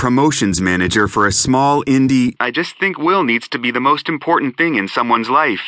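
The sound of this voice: Lively intonation in an unforced reading voice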